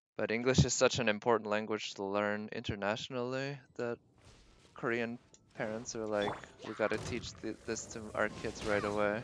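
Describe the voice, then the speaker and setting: The man's voice is fairly low and monotone, with flat intonation. He keeps a moderate pace. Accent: American. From Boston, US East Coast. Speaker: video game streamer. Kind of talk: live gameplay stream chat.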